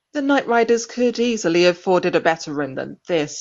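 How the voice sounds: The speaker reads. The reading voice is natural.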